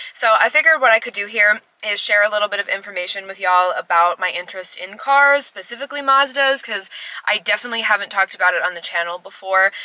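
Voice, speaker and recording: A woman's medium-pitched voice at a very fast clip, lively in intonation, dry and close with no echo, over noticeable background noise. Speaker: retro tech YouTuber. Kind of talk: casual vlog talk to camera. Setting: in a car in a parking garage. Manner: loud.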